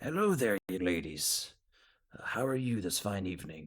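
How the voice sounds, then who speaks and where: Putting on a raspy character voice, a man speaks at a fairly low pitch and a moderate pace. His intonation is lively. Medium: actual play. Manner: polite, hesitant, old-fashioned courtesy.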